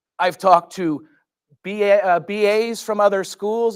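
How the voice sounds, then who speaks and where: With a Philadelphia accent, the speaker keeps a fairly even intonation on a very clean recording with a silent background. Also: man. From Philadelphia, US. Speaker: school board member. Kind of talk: public meeting remarks. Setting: board meeting room with microphone. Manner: halting.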